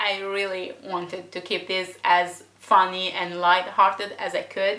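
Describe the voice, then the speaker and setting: A woman with a non-native accent uses an animated tone at a fairly slow pace. Audible room echo is present. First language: not English. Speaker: book reviewer vlogger. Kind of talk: emotional rant.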